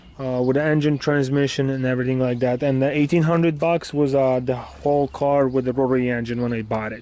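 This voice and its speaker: A man with a non-native accent talks very fast, with hardly any pauses, in a monotone, flat intonation. His tone is dark and mellow, and his pitch is medium. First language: not English. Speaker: car hobbyist vlogger. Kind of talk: casual tutorial vlog. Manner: halting.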